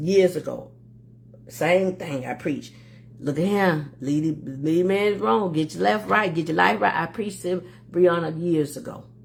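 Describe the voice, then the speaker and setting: With an American accent and vocal fry, the speaker sounds animated, using lively intonation at a moderate pace. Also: woman, very deep, low pitch for a woman. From Florida, Miami. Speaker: livestream host. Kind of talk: casual livestream talk.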